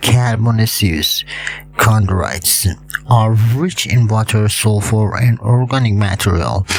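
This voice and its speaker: A man at medium pitch and a fairly slow pace, ordinary pitch variation, with noticeable background noise. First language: not English. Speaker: hobbyist video creator on meteorites. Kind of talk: educational tutorial. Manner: halting with many fillers.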